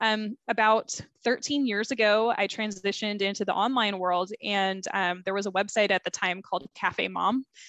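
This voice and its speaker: A woman with a plain, everyday voice speaks at a moderate pace and medium pitch, with fairly even intonation, hardly any pauses, and a quiet background. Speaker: Facebook group marketing consultant. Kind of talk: interview.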